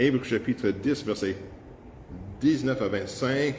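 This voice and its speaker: Against audible room echo, a man with an English accent speaks at a fairly slow pace, with ordinary pitch variation. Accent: English-speaking accent in French. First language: English (speaking French). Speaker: pastor. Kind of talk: sermon. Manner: halting, frequent hesitations.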